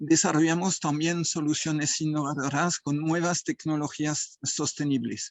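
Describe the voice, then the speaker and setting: A man with a fairly high voice speaks at a fairly slow pace with hardly any pauses. His intonation is flat and monotone. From France. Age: 60s. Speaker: association president and food engineer. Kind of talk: forum talk. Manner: halting.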